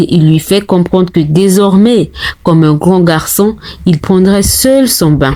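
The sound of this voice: The pitch varies in an ordinary way as someone reads in an unforced reading voice.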